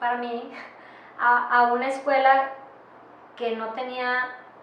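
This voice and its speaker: Amid noticeable background noise and audible room echo, a woman speaks at a very slow pace in a high pitch. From Mexico, Monterrey, Nuevo León. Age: 30s. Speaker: playwright and actress. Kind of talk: interview testimony. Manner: halting, many fillers and restarts.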